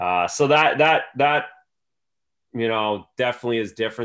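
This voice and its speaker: A man with an Ontario accent talks at a very fast pace with ordinary pitch variation in a very clean recording with a silent background. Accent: Canadian (Ontario). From Canada, Belleville, Ontario. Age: 40s. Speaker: former pro hockey goaltender and TV analyst. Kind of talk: casual interview.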